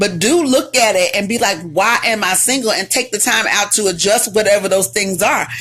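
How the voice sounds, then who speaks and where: Ordinary pitch variation from a woman, with noticeable background noise behind her. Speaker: relationship advice host and author. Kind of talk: live stream talk. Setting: live video stream. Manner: loud; animated.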